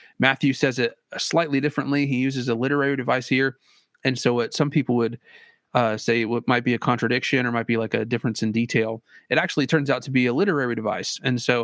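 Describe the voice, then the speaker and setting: A man at a very fast pace, medium in pitch with fairly even intonation. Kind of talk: casual debate discussion. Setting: online audio room. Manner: hesitant, many fillers.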